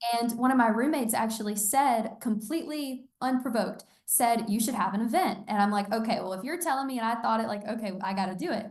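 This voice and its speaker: Somewhat breathy and fairly high in pitch, a woman speaks very fast with hardly any pauses and ordinary pitch variation, amid audible room echo. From Georgia. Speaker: college student and online clothing store founder. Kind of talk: casual interview chat.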